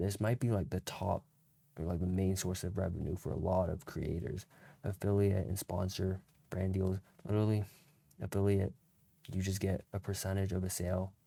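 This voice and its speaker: Quiet and very deep in pitch, a man with a dark, mellow tone speaks at a moderate pace in a monotone, flat intonation with long, frequent pauses, on a very clean recording with a silent background. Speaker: content creator. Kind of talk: casual tutorial. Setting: at home late at night. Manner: quiet, low volume; casual slangy rambling.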